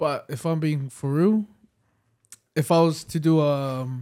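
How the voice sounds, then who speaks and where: A man talks with an Australian accent at a fairly high pitch. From Western Sydney, Australia. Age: 20s. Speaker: rapper. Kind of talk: casual chat.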